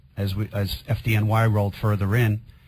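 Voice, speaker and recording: The delivery moves at a moderate pace with a somewhat breathy quality. Intonation stays monotone and flat throughout. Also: man. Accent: Queens. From New York, Queens. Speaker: firefighter. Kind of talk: radio interview testimony.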